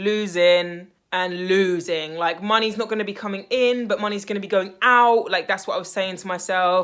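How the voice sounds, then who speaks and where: A woman with a British accent in an animated tone at a fairly quick pace. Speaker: life coach / mindset vlogger. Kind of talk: motivational vlog monologue. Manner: loud.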